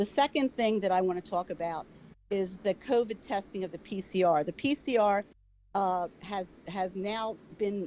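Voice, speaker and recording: With an American accent, a woman of medium pitch speaks at a moderate pace in a dark, mellow tone, her pitch varying in an ordinary way. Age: 70s. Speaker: public commenter at county meeting. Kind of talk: public comment. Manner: halting, many fillers.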